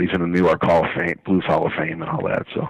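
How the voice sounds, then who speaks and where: A man is heard in a dry, close sound with no echo. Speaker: blues harmonica showcase promoter. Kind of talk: radio interview, promoting event. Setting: phone call. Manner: enthusiastic, casual.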